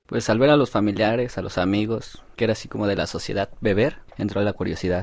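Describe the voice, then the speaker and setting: A man with an ordinary speaking voice talks at a fairly quick pace and fairly low pitch, with fairly even intonation and a quiet background. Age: 19. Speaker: laborer. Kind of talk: testimony.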